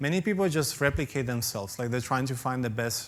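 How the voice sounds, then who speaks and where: In a room with audible echo, a man with a non-native accent talks at a moderate pace and a medium pitch. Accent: foreign. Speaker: professor. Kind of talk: conference talk Q&A.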